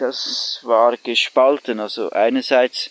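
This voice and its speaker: The man's voice sounds dry and close with no echo, over noticeable background noise. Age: old. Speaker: cooperative member and activist. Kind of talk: interview. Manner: hesitant with many fillers.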